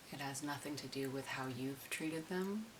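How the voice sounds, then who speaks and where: Soft-spoken and fairly slow, a woman talks with a very deep, low pitch and ordinary pitch variation over noticeable background noise. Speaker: customer service worker. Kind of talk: ASMR soft-spoken chat. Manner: soft-spoken, slow.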